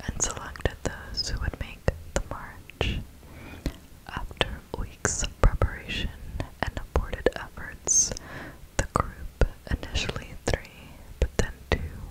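A soft-spoken, whispering woman at a very slow pace, with long, frequent pauses and loud background noise. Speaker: ASMR creator. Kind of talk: soft-spoken storytelling narration. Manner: soft close-mic ASMR whisper. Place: home room. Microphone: studio mic.

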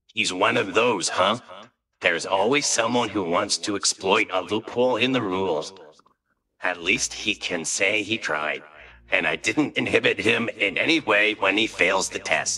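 A man puts on a character voice that sits fairly low in pitch. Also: moderate pace. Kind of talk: manga dub.

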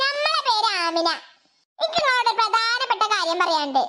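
A squeaky, cartoonish character voice, female-sounding and extremely high-pitched, at a moderate pace. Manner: direct, insistent.

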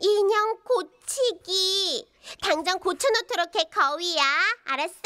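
An extremely high-pitched, cartoonish character voice. It moves at a fairly slow pace. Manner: bossy, impatient, commanding.

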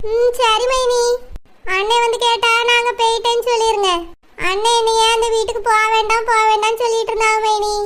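Using a cartoonish character voice, a woman speaks at a moderate pace in an extremely high pitch with flat, monotone intonation. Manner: respectful, pleading.

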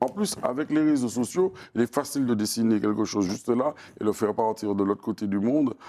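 Fairly quick and very even in loudness, a man's dark, mellow voice moves with ordinary pitch variation. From Martinique, Fort-de-France; Martinique. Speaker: singer-songwriter and storyteller; interviewee. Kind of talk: interview. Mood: calm, reflective. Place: studio.

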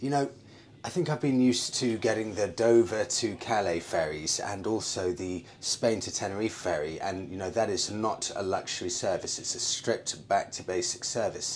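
A man talks at a moderate pace in a fairly low pitch with ordinary pitch variation. Light background noise can be heard. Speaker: travel vlogger. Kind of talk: casual vlog chat. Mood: upbeat, pleased. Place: boat. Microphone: phone near.

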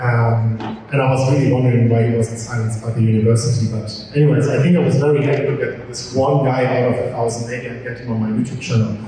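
A man with a dark, mellow tone speaks at a fast pace. His intonation is fairly even, and the room echo is audible. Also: medium pitch for a man.

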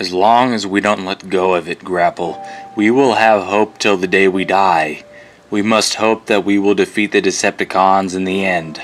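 A man's fairly low-pitched voice is a put-on character voice. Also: moderate pace. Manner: earnest, inspiring.

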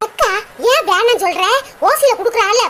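A woman puts on a squeaky, cartoonish character voice at an extremely high pitch. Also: moderate pace. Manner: pushy, coaxing.

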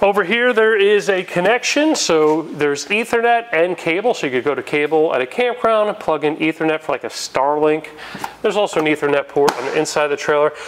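A man with a high pitch talks at a fairly quick pace, his intonation lively over light background noise. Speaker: presenter. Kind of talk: product walkthrough tour. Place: shop. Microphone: lapel.

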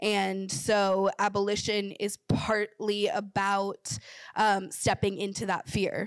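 There is a quiet background and a dry sound with no echo as a woman talks at a very slow pace with fairly even intonation. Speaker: panelist. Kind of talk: panel discussion answer. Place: hall. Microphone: handheld.

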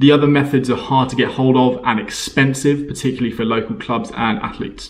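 A man talks at a very fast pace. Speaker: coach explaining training. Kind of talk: tutorial. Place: home room. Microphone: camera far.

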